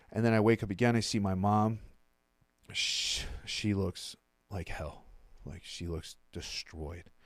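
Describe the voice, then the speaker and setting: Fairly low in pitch, a man with a Mid-Atlantic American accent talks at a fairly slow pace, leaving long, frequent pauses. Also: ordinary pitch variation. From Maryland, US. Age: 30s. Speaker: recovering addict. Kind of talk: interview. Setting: studio. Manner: casual.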